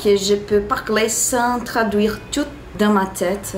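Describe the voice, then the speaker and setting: Heard with audible room echo and noticeable background noise, a woman with a Portuguese accent speaks in a fairly high pitch with ordinary pitch variation. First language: Portuguese (speaking French). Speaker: vlogger. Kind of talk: vlog talk to camera. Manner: halting, many pauses and restarts.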